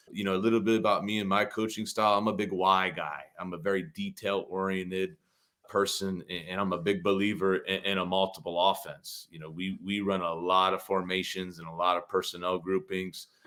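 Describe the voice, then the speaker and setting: With a Midwestern US accent, a man speaks at a fairly quick pace in a very deep, low pitch, his tone bright and sharp and his intonation monotone and flat. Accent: US Midwest. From Ohio, US Midwest. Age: 30s. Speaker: football coach, podcast co-host. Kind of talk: casual chat.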